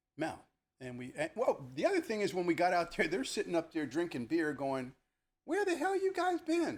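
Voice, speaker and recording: Speaking fairly quickly, a man talks in an American accent. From New Jersey, Elizabeth. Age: 60s. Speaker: retired police lieutenant. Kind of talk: casual chat. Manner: animated storytelling.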